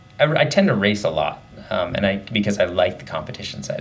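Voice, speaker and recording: Noticeable background noise and audible room echo surround the speaker. The pace is fairly quick, with an American accent. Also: man. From Southern Oregon, US. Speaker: elite runner. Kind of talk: interview.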